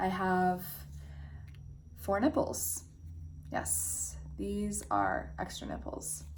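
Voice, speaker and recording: With audible room echo, a woman speaks at a very slow pace, leaving long, frequent pauses. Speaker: self-help vlogger. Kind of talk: personal vlog monologue. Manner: candid, reflective.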